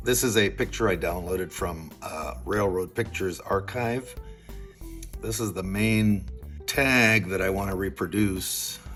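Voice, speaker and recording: A man's words come at a fairly slow pace. Behind him, music plays. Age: 70s. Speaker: model railroad hobbyist. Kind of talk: hobby tutorial narration. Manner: casual, hesitant with fillers.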